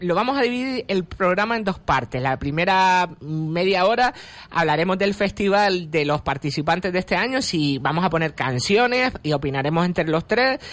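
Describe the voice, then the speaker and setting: Against a quiet background, a man with a high voice talks at a moderate pace with lively intonation and very even loudness. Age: 40s. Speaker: radio host. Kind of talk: casual chat.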